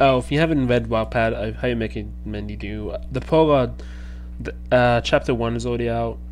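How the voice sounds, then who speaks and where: A man speaking at a moderate pace, light background noise behind him. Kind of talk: casual vlog chat. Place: home room. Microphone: headset.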